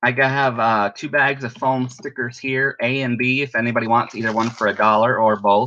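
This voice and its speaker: Loud and bright with a sharp tone, a man talks at a medium pitch and a fairly quick pace, with hardly any pauses and a monotone, flat delivery. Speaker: online live sale seller. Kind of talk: live selling stream.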